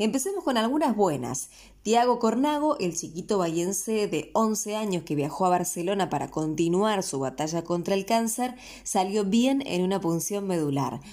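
In a Rioplatense accent, a woman speaks at a medium pitch with a dark, mellow tone. Her pitch swings very widely. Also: moderate pace, very clean recording, silent background. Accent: Argentine Rioplatense Spanish. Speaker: local news host. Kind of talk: news reading.

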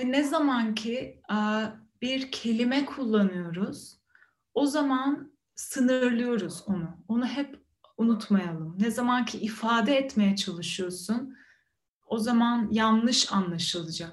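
A calm woman's voice, fairly high in pitch, very slow, with ordinary pitch variation. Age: 30s. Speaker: meditation teacher. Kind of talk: meditation talk. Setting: video call. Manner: calm, reflective with hesitations.

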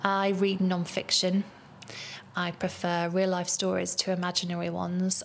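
This woman has a fairly low pitch and speaks with a British accent. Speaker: podcast host and psychotherapist. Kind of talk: scripted podcast monologue.

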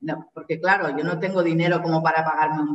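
A woman with an ordinary speaking voice talks in a fairly low pitch with fairly even intonation. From Spain, Barcelona. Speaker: Spanish teacher. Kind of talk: interview.

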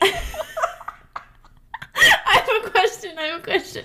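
A put-on character voice, shrill and extremely high in pitch, moves at a moderate pace. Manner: silly, pretend.

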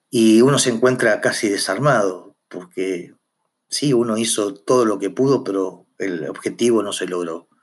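Over a quiet background, a man talks at a fairly slow pace at medium pitch with ordinary pitch variation. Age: 50s. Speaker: firefighter chief and podcaster. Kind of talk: personal monologue podcast. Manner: halting, frequent repetitions and fillers.

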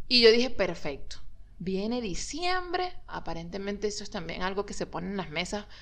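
A woman with a medium pitch speaks in a space with audible room echo, her loudness swinging widely. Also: ordinary pitch variation, moderate pace. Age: 40s. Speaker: podcast co-host. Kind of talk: casual chat.

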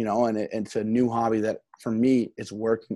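A man's dark, mellow voice with an American accent, medium in pitch, at a moderate pace. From US Northeast, New Jersey. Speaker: podcast host. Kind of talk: casual chat.

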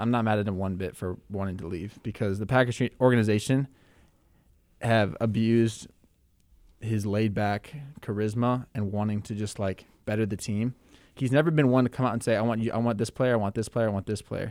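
This is a plain, everyday voice: a man with an American accent, fairly low in pitch, speaking at a fairly quick pace with fairly even intonation. The recording is very clean, with a silent background. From Minneapolis, US Midwest. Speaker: podcast co-host. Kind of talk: casual chat. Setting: studio.

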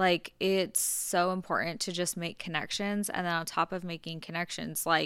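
Speaking at a moderate pace, a woman uses a fairly low pitch and a bright, sharp tone with monotone, flat intonation. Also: very clean recording, silent background. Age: 20s. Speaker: podcast host, beauty business owner. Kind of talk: casual chat.

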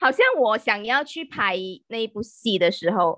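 A bright, sharp tone at a moderate pace, with ordinary pitch variation and a dry, close sound with no echo. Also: woman. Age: 30s. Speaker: podcast guest. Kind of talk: casual chat.

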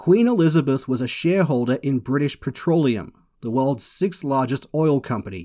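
A furious, fairly high-pitched man's voice with lively intonation and an Australian accent, in a very clean recording with a silent background. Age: 30s. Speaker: podcast host and commentator. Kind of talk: angry rant. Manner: furious, sweary, ranting with sarcastic bite.

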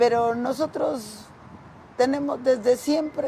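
A high-pitched woman at a fairly slow pace, with noticeable background noise. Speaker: local political leader of a social organization. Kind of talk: interview.

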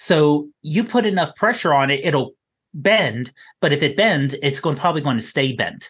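Against a quiet background, a man with a normal speaking voice talks fairly slowly at a fairly high pitch, with lively intonation. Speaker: podcast co-host.

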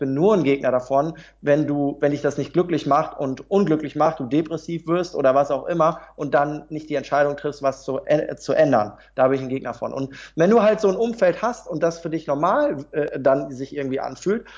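A man with a fairly high pitch talks at a fairly quick pace with hardly any pauses. His pitch variation is ordinary. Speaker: motivational speaker and trainer. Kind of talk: interview. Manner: calm.

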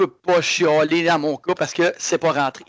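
A man with a Quebec accent speaks at a fairly quick pace in a monotone, flat intonation, the sound dry and close with no echo. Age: 30s. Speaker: martial arts instructor. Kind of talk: casual chat.

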